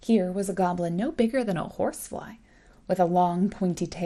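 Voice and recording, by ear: A natural voice, reading aloud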